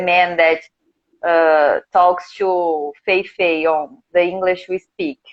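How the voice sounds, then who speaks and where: A woman with a Portuguese accent speaks at a very slow pace. Her fairly low pitch stays monotone and flat. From Brazil, countryside of São Paulo state. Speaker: English teacher. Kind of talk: interview. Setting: live video stream.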